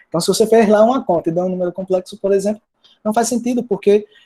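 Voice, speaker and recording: With a dark, mellow tone, this man's voice moves up and down in pitch in an ordinary way. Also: dry, close sound with no echo. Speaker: mathematics professor. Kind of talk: lecture. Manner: fast.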